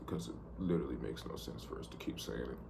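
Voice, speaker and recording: Audible room echo around a man speaking. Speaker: vlogger, amateur trader. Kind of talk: casual video diary monologue. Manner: casual, rambling with repetitions.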